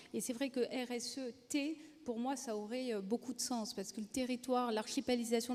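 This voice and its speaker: A woman's fairly high voice with a slight southern French accent and monotone, flat intonation. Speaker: rail company executive. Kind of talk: panel discussion.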